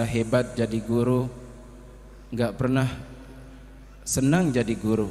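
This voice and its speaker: A man with a non-native accent, very slow and monotone with flat intonation, in a room with audible echo. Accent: non-fluent Indonesian. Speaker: Islamic religious teacher. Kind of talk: religious sermon. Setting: Islamic boarding school gathering. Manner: halting.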